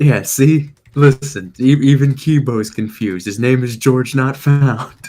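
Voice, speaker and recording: A quiet man's voice, dark and mellow in tone, at medium pitch with ordinary pitch variation and a fairly slow pace. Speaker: YouTuber co-host of review stream. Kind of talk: casual chat. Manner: quiet at the moment.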